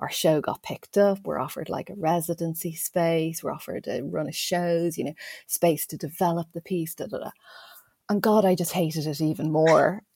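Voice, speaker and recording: Someone with an Irish accent talks at a fairly quick pace in a dark, mellow tone, with fairly even intonation and a dry, close sound with no echo. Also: woman, fairly low pitch for a woman. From Ireland. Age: 40s. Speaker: educational developer. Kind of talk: casual interview. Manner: chatty.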